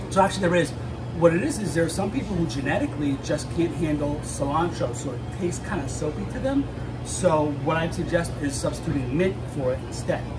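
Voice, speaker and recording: A man talks with ordinary pitch variation while noticeable background noise is present. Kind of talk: cooking tutorial. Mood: friendly, relaxed. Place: kitchen. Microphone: phone near.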